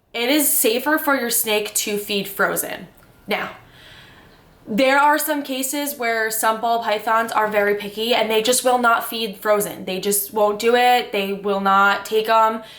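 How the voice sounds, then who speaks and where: A woman talks at a fairly slow pace, pitched fairly high with ordinary pitch variation. Audible room echo and noticeable background noise fill the recording. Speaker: reptile keeper vlogger. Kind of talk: tutorial. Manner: casual, filler-heavy.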